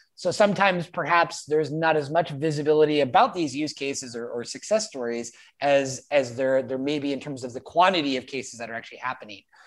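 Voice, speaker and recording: Energetic, enthusiastic delivery at a very fast pace, with hardly any pauses. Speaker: meetup host. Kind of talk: casual moderated meetup. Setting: video call.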